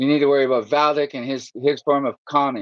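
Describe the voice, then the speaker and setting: Talking at a very fast pace, a man speaks in a medium pitch. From Canada. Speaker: livestreamer. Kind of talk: angry rant. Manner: agitated, profane.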